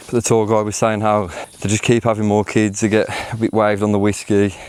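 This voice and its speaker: Over noticeable background noise, a man speaks very fast in a fairly low, monotone, flat voice. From England, West Midlands (Wolverhampton). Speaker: travel vlogger. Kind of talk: travel vlog narration. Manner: casual, chatty.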